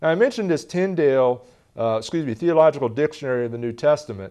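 With lively intonation and a fast pace, a man speaks at a medium pitch in a slightly mellow tone.

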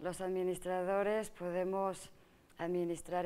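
A woman talks at a fairly slow pace in a dark, mellow tone. Her intonation stays monotone and flat. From Mexico, Morelia (Michoacán); Michoacán, Mexico. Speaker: state agriculture official and politician; politician. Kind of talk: TV interview. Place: studio. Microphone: lapel.

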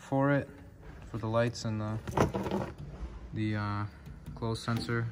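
A man in monotone, flat intonation over light background noise. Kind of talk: casual vlog chat. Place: workshop. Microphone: phone near.

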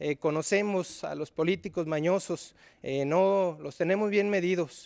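A man's high voice at a fairly slow pace with fairly even intonation against a quiet background. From Zapopan, Jalisco, Mexico; Jalisco, Mexico. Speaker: mayoral candidate, computer engineer; candidate. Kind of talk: political debate. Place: studio. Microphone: podium.

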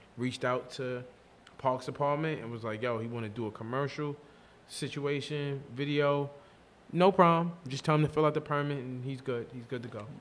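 This man has a New York accent and a fairly high pitch, and his loudness swings widely. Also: fairly even intonation, moderate pace. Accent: New York City. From New York City, Queens (Hollis, Far Rockaway). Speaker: clothing brand owner. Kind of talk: casual chat.

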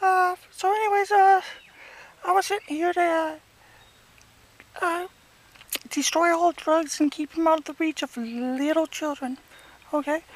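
A cartoonish character voice at an extremely high pitch and a moderate pace. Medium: puppet. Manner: rambling, self-absorbed.

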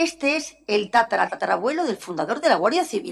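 Very wide pitch swings from a woman speaking at a fairly quick pace. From Galicia, Spain (Ferrol); Galicia, Spain. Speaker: historian and art curator; lecturer. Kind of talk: lecture. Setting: lecture hall with audience. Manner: animated. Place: hall.

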